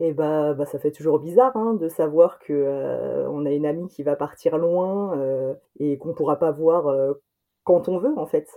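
Here a woman speaks with a very deep, low pitch and ordinary pitch variation. Her pace is fairly slow. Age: 30s. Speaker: friend of guest, former teacher. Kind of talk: interview. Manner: hesitant.

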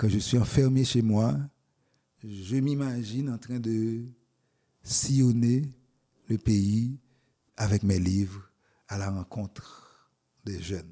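Speaking very slowly with long, frequent pauses, a man uses a dark, mellow tone at a medium pitch with ordinary pitch variation, on a very clean recording with a silent background. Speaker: poet and professor. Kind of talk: interview. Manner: halting.

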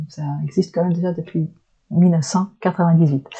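Somewhat breathy and dark, mellow in tone, a woman speaks with fairly even intonation. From Flanders, northern Belgium. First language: Dutch (Flemish) (speaking French). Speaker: shiatsu practitioner. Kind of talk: interview conversation. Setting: small private room. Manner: hesitant, searching for words.

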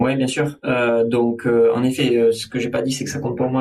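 A man's medium-pitched voice, dark and mellow, with ordinary pitch variation. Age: 30s. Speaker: chartered accountant and firm CEO. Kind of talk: podcast interview.

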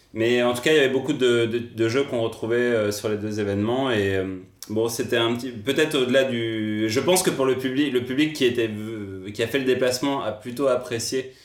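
Fairly even intonation from a man at a moderate pace, with audible room echo. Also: medium pitch for a man. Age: 30s. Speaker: podcast co-host, video game industry worker. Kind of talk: casual chat.

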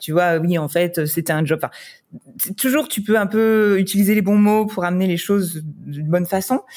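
Here a woman has a normal speaking voice at a medium pitch with ordinary pitch variation. She keeps a moderate pace. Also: hardly any pauses. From France. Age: 30s. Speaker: wedding photographer. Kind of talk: casual interview chat.

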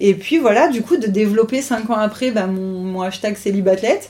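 A woman talks in an ordinary speaking voice at a medium pitch. Her intonation is lively, and her pace is moderate. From French Riviera. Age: 30s. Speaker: triathlete. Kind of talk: interview.

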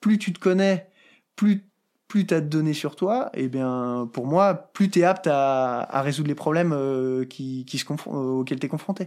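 An unremarkable speaking voice with ordinary pitch variation moves at a fairly slow pace in a very clean recording with a silent background. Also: man, fairly high pitch for a man. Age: 30s. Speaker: mountaineer and high-mountain guide. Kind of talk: interview conversation.

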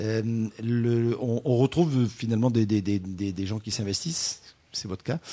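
Very slowly, a man with a medium pitch and a dark, mellow tone speaks with ordinary pitch variation. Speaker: wine radio co-host. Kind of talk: casual radio chat.

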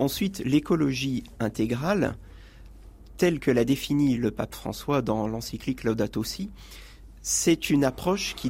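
Fairly slow, lively speech from a man at medium pitch with vocal fry, on a very clean recording with a silent background. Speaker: ecology columnist and nature conservation worker. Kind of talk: radio interview discussion. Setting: radio studio.

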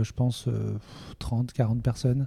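A man's monotone, flat delivery, dark and mellow in tone, at a medium pitch. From Toulouse area, southwestern France. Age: 30s. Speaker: entrepreneur. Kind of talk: interview conversation.

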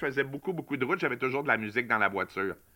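In a Quebec accent, a man speaks at a very fast pace. His voice is fairly high in pitch, with a bright, sharp tone. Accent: Québécois French. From Quebec, Montreal. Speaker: music enthusiast. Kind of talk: casual chat.

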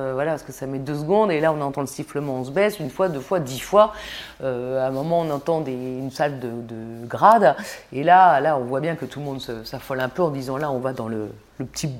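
Talking at a fairly quick pace, a woman uses a very deep, low pitch with ordinary pitch variation. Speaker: war reporter. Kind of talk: interview.

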